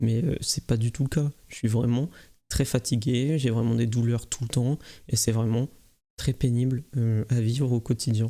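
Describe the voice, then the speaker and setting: A man's dark, mellow voice at a medium pitch, fairly slow and fairly even in intonation, with very even loudness. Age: 20s. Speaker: streamer. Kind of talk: awareness talk to camera. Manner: monotone; hesitant.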